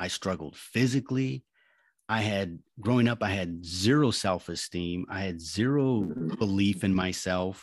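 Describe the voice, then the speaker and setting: A man uses a plain, everyday voice, pitched fairly low with ordinary variation. The background is quiet. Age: 40s. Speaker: life coach and war veteran. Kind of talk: interview.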